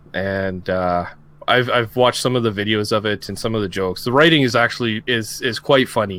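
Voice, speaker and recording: With a Canadian accent, a plain, everyday voice speaks at a moderate pace with ordinary pitch variation on a very clean recording with a silent background. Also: man. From Canada. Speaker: podcast host. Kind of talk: casual chat.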